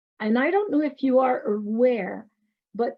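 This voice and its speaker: A woman with a Quebec accent, high pitch, ordinary pitch variation and a fairly slow pace. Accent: Québécois French accent in English. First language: French. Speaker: professor. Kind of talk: lecture.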